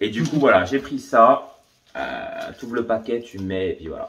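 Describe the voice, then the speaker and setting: The man talks at a fairly slow pace, his loudness swinging widely. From eastern France, Franche-Comté near Swiss border. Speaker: vlogger. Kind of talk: casual chat.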